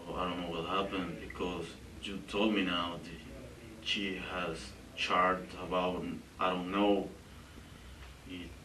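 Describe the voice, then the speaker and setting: In a room with audible echo and noticeable background noise, a man with a very deep, low pitch talks at a fairly slow pace, with long, frequent pauses and fairly even intonation. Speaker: suspect being interrogated. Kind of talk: police interrogation. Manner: halting.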